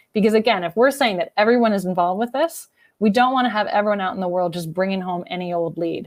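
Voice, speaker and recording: A woman talks at a very fast pace with lively intonation, the sound dry and close with no echo. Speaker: architecture firm marketing and business development lead. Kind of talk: conference workshop presentation. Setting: virtual conference.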